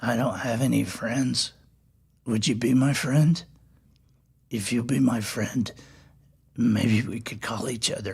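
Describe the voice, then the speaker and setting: A man puts on a raspy, growling character voice, talking at a fairly slow pace with fairly even intonation. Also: medium pitch for a man. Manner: pleading, needy.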